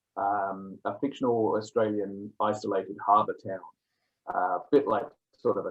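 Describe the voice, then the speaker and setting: A man talks with a slight English accent. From England. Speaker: author. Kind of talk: interview.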